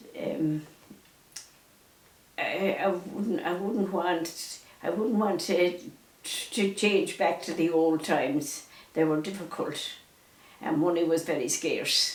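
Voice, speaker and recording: A woman with a Mayo accent, fairly low in pitch, very slow, with long, frequent pauses, ordinary pitch variation and noticeable background noise. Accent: Irish, County Mayo. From Ireland. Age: 80s+. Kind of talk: interview answer, life recollections. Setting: at home.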